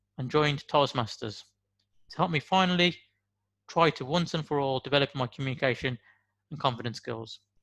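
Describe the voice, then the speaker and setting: With a Birmingham accent, a man speaks at a moderate pace in a very clean recording with a silent background and a dry, close sound with no echo. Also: long, frequent pauses, big swings in loudness. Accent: Brummie. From West Midlands, Birmingham. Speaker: motivational speaker. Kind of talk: motivational talk.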